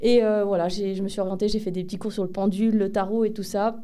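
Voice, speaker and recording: With audible room echo around her, a woman's dark, mellow tone comes through at a medium pitch and a fairly quick pace. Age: 30s. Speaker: medium and pharmacy assistant. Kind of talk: interview. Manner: hesitant, many fillers.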